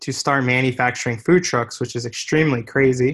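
A man speaks at a medium pitch and moderate pace with ordinary pitch variation. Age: 20s. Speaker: entrepreneur. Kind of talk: interview. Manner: halting.

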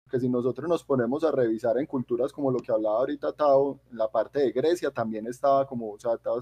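A man speaks in a plain, everyday voice at a medium pitch and a fairly quick pace. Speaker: podcast co-host. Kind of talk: casual chat.

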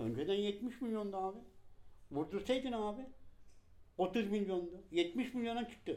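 Dark and mellow in tone, a man's voice sits high in pitch and shows ordinary pitch variation. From Turkey, Balıkesir (Gönen). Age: 50s. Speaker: shoemaker. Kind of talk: interview testimony.

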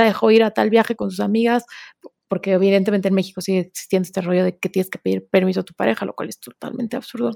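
Very fast pace from a woman with a dark, mellow tone, in a dry, close sound with no echo. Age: 30s. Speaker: author. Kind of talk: interview conversation.

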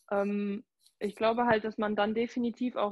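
A plain, everyday voice at a moderate pace. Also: woman. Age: 20s. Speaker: social welfare office worker and Instagram creator. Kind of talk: casual interview chat.

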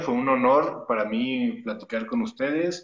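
A man speaks at a very slow pace, with ordinary pitch variation. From Torreón, northern Mexico (La Laguna). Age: 30s. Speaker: stunt actor. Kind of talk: interview.

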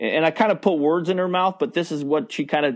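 A man with an ordinary speaking voice and an American accent talks at a fairly quick pace in a fairly high pitch with ordinary pitch variation against a quiet background. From US, small town. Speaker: baseball umpire. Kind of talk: interview, faith testimony.

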